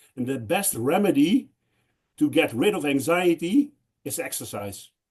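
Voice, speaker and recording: A man with a Dutch accent speaks fairly slowly in a somewhat breathy, fairly high voice whose pitch swings very widely. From Netherlands. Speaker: conference speaker. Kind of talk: panel Q&A discussion.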